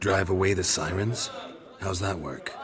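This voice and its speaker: A man uses a cartoonish character voice with a very deep, low pitch. He keeps a moderate pace over clear background noise. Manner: terse, flat, laconic.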